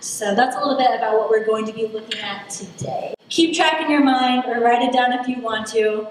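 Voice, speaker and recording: A woman speaks at a high pitch in a room with audible echo and noticeable background noise. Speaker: political science lecturer. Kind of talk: lecture. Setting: stage with audience at a lectern.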